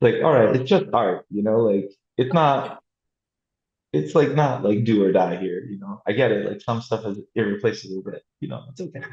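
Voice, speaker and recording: A man with an American accent at medium pitch, somewhat breathy, with lively intonation, big swings in loudness and a moderate pace. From New York. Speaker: artist and printmaker. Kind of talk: interview conversation. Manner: casual, filler-heavy (like, you know).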